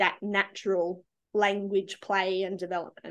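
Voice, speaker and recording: With an Australian accent, a woman speaks at a medium pitch over a quiet background. Her intonation is monotone and flat. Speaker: early childhood educator. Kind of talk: casual chat.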